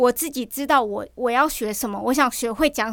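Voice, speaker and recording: A woman speaks at a high pitch and a fairly quick pace. Her pitch varies in an ordinary way on a very clean recording with a silent background. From Matsu islands, Nangan. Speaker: YouTuber. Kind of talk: casual chat.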